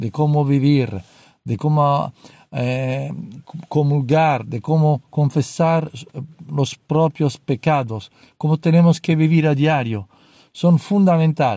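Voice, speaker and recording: In an Italian accent, a man with a dark, mellow tone speaks at a fairly high pitch and a very slow pace. His pitch varies in an ordinary way, and the sound is dry and close, with no echo. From Italy (Rome). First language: Italian (speaking Spanish). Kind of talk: religious talk. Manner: halting.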